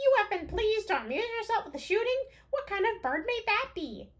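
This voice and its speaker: A woman uses a put-on character voice, squeaky and extremely high in pitch. She talks at a fairly quick pace. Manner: greedy, wheedling.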